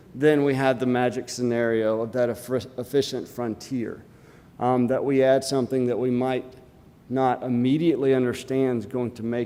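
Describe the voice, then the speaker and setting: With an Alabama accent, a man talks at a moderate pace in a medium pitch with a dark, mellow tone. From US South, Alabama. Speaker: conference speaker, portfolio manager. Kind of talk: conference talk. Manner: hesitant, many fillers.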